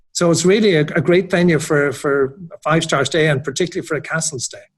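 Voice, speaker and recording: Someone with an Irish accent talks at a very fast pace. The intonation stays fairly even. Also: man, fairly high pitch for a man. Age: 60s. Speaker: hotel general manager. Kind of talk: interview.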